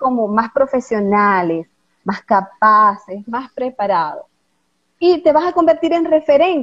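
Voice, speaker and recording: Her voice high and her pitch swinging very widely, a woman speaks at a fairly slow pace. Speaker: lawyer and voice coach. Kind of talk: interview, explanatory talk. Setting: live stream with online audience.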